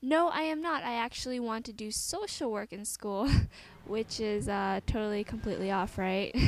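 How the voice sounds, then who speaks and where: Against noticeable background noise, a woman talks at a moderate pace in a fairly high voice with lively intonation. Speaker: gaming commentator. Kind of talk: casual Q&A over gameplay. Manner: animated.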